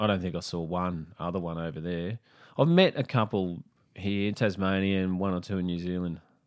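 Speaking with a Queensland accent, a man uses a very deep, low voice and fairly even intonation at a moderate pace. The recording is very clean, with a silent background. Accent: Australian (Queensland). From Brisbane, Australia. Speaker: comedian. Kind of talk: casual chat.

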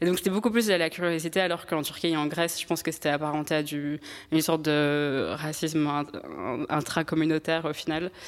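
A woman's very deep, low voice in a flat monotone at a fairly quick pace, over a very clean recording with a silent background. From France, Strasbourg. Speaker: podcast guest. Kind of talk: testimony.

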